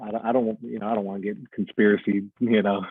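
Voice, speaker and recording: In a Mid-South accent, a man speaks with a fairly low pitch and a flat, monotone intonation. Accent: US Southern (Mid-South). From Arkansas, West Memphis area. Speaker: electrician. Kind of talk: casual chat.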